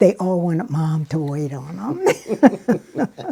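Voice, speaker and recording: With an American accent, a woman speaks in a dark, mellow tone. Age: 90s. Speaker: elderly relative sharing family history. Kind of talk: interview reminiscence. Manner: halting, with frequent fillers.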